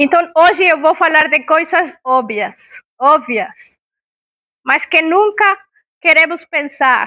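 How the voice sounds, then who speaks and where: A woman with an extremely high pitch and lively intonation speaks at a very slow pace. She leaves long, frequent pauses. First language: Spanish (speaking Portuguese). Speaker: talk speaker on palliative care. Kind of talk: public talk. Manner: interactive, questions to audience.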